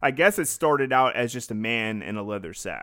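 A man speaks in a plain, everyday voice at a medium pitch. He moves at a moderate pace with ordinary pitch variation. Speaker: podcast co-host.

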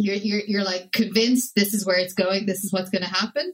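A woman with a Dublin accent speaks with fairly even intonation. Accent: Irish (Dublin). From Ireland. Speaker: podcast guest and TV show reviewer. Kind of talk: casual chat, show review. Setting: remote call from Sardinia.

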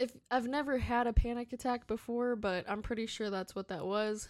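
A woman's plain, everyday voice, fairly high in pitch, at a moderate pace with fairly even intonation, in a very clean recording with a silent background. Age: 20s. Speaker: host's fiancée. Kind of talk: casual chat. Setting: on the road, traveling.

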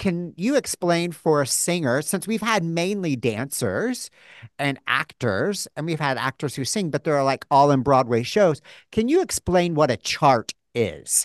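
In an American accent, a man with a fairly high pitch talks at a fairly slow pace with very wide pitch swings, the sound dry and close with no echo against a quiet background. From rural United States. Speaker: podcast host, former dancer. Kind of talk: casual interview chat. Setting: studio.

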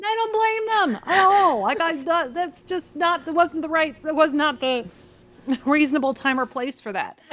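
With an American accent, a woman talks at an extremely high pitch and a moderate pace, her pitch swinging very widely. Noticeable background noise runs underneath. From US Pacific Northwest, Oregon. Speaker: witch, author and tarot adviser. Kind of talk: casual chat.

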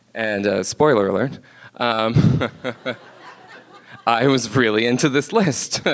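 A man with a medium pitch and ordinary pitch variation talks at a very slow pace, leaving long, frequent pauses. Noticeable background noise is present. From Canada, Nova Scotia. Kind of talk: casual storytelling. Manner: animated.

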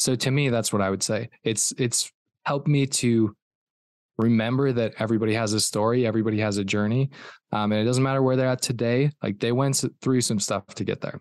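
At a fairly quick pace, a man with an American accent speaks in a plain, everyday voice with fairly even intonation and very even loudness, the sound dry and close with no echo against a quiet background. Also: medium pitch for a man. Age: 30s. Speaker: performance coach. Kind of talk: casual interview. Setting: remote call.

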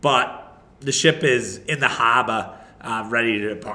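Putting on a character voice with a Boston accent, a man sounds raspy at medium pitch and a moderate pace.

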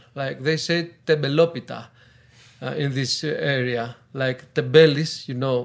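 With a Greek accent, a man of fairly high pitch talks fairly slowly and with fairly even intonation. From Greece (Athens). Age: 30s. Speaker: taverna owner. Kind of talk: casual interview. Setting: in a village restaurant. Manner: halting, frequent uh fillers.

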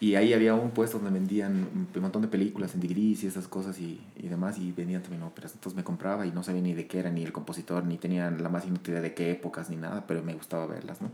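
With a very deep, low pitch and a dark, mellow tone, a man speaks at a very fast pace with hardly any pauses and fairly even intonation. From Bolivia, La Paz. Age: 30s. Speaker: countertenor and voice teacher. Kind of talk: casual interview chat.

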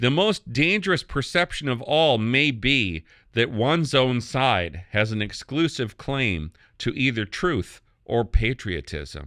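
Very slowly, a man with an American accent speaks in a bright, sharp tone with vocal fry and very wide pitch swings. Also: medium pitch for a man, very clean recording, silent background. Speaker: podcast host and media critic.

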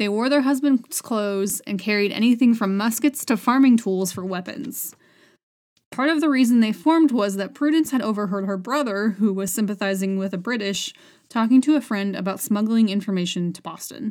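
A plain, everyday voice with ordinary pitch variation goes at a fairly quick pace in a very clean recording with a silent background. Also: woman, fairly high pitch for a woman. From United States. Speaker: podcast host and history storyteller. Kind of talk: history documentary narration, measured and informative, read from researched notes. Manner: steady, clear, even-paced explanatory storytelling.

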